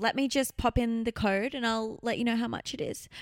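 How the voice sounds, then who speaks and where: A woman with an Australian accent and a high-pitched, animated voice, moderate pace, ordinary pitch variation, and a very clean recording with a silent background. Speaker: podcast co-host. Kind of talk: casual chat.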